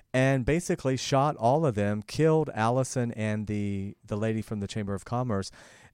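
A man speaks at medium pitch in a plain, everyday voice, with ordinary pitch variation. His pace is moderate with hardly any pauses, on a very clean recording with a silent background. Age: 50s. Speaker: talk show host and actor. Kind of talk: talk show interview. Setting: studio.

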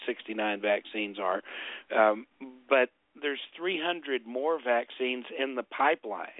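A man speaks in an unremarkable speaking voice at medium pitch. His intonation is lively. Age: 50s. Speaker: documentary filmmaker. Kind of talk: interview.

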